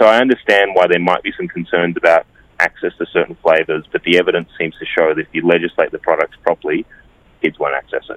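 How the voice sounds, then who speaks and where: He speaks with an Australian accent. The man's delivery is very fast. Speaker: advocacy campaign director. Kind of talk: radio interview. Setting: phone call.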